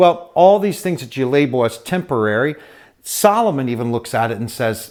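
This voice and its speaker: A normal speaking voice comes through with lively intonation at a moderate pace. The recording is very clean, with a silent background. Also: man. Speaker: pastor, Bible teacher. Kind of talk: Bible teaching, sermon-style talk to camera. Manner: conversational, with filler words.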